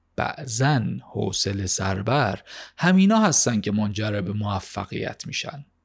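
A man's very slow speech in a very clean recording with a silent background. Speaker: podcast host summarizing business books. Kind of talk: scripted narration of a book summary.

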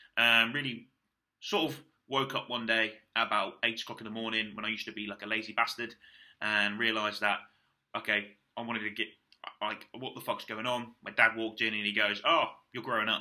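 A man speaks with a British accent at a fairly quick pace, his pitch medium. Long pauses come often. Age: 20s. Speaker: bodybuilder podcaster. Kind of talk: casual monologue. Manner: animated.

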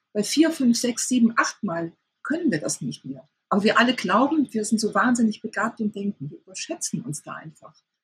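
A woman with fairly high pitch speaks with vocal fry. Her voice shows very wide pitch swings and big swings in loudness. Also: moderate pace. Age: 50s. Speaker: sex therapist and author. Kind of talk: interview.

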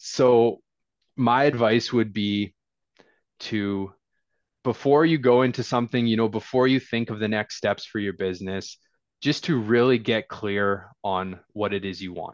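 Against a quiet background, a man with a Canadian accent uses an unremarkable speaking voice at medium pitch, ordinary pitch variation and a fairly slow pace. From northern British Columbia, Canada. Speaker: real estate investor. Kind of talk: casual interview.

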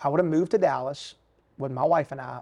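A man with an American accent talks at a moderate pace, the background quiet. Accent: Southern US, sounds like Alabama. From US South, Richmond, Virginia. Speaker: bivocational pastor and bank executive. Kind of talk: casual interview chat.

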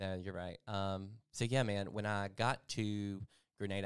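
Fairly low male voice in a Southern US accent at a fairly slow pace. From Mississippi. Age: 30s. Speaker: life coach. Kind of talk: personal testimony.

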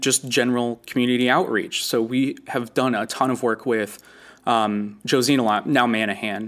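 A plain, everyday voice from a man, medium in pitch, with fairly even intonation and a moderate pace, recorded very cleanly against a silent background. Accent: American. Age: 20s. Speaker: zoo inclusion coordinator. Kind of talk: interview.

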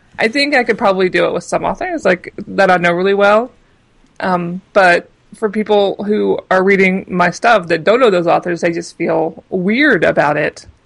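A woman with an ordinary speaking voice and an American accent speaks at a medium pitch and moderate pace, with ordinary pitch variation. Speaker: book blogger and critic. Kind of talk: casual interview conversation.

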